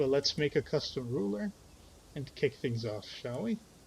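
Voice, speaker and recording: Somewhat breathy, a man talks at a fairly slow pace. His intonation is lively. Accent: Dutch. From Netherlands. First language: Dutch. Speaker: gaming streamer. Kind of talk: gameplay commentary. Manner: halting.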